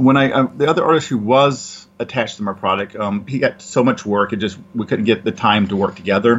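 A man with a Southern US accent talks at a very fast pace. His pitch varies in an ordinary way. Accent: Southern US (Georgia). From US South, Georgia. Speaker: comic book publisher and writer. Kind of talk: casual interview.

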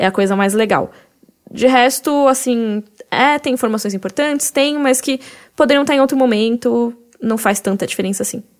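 A woman uses an ordinary speaking voice at a moderate pace, her pitch fairly high and varying in an ordinary way. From Brazil, Cuiabá. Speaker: podcast host. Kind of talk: casual chat.

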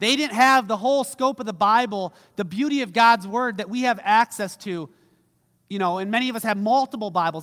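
Heard on a very clean recording with a silent background, a man talks fairly quickly at a high pitch with a bright, sharp tone. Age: 30s. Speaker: pastor. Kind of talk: sermon. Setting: church. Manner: casual, conversational.

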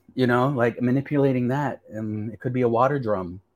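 At a moderate pace, a man with an American accent talks in a plain, everyday voice of medium pitch. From US, western New York (Seneca territory). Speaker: filmmaker. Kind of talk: interview conversation.

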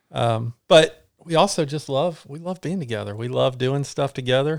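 A man with a normal speaking voice talks at a moderate pace with ordinary pitch variation, on a very clean recording with a silent background. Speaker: ultra runner and co-instructor. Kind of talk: casual interview chat.

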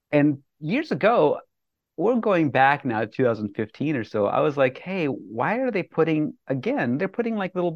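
A man with an American accent, fairly high pitch, very wide pitch swings and a moderate pace. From US, eastern Colorado. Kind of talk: interview. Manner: casual, with filler words.

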